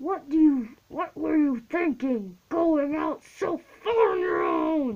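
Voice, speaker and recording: A woman's put-on character voice, high in pitch and gruff, with very wide pitch swings at a very slow pace. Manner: stern, scolding.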